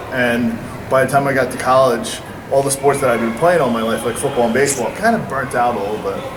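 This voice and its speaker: In a New York accent, a man speaks at a fairly quick pace and medium pitch, with audible room echo and noticeable background noise. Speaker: lacrosse coach. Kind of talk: presentation to an audience. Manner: halting, many fillers and repeats.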